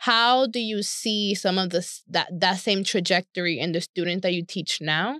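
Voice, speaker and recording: A woman with an American accent speaks at a moderate pace with hardly any pauses, her medium pitch showing ordinary variation and her tone bright and sharp. The sound is dry and close with no echo, on a very clean recording with a silent background. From New York. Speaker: podcast host. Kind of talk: interview.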